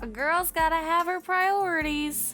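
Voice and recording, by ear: A woman's put-on character voice, extremely high-pitched, bright and sharp, with fairly even intonation and a fairly slow pace, over faint music in the background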